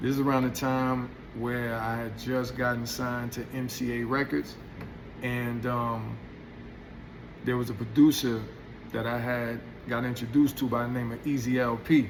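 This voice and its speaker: Monotone, flat delivery from a man of medium pitch in a New York accent, with long, frequent pauses and audible room echo. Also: moderate pace. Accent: New York hip hop. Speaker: hip hop artist telling stories. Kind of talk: storytelling monologue. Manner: halting, self-interrupting; relaxed, casual.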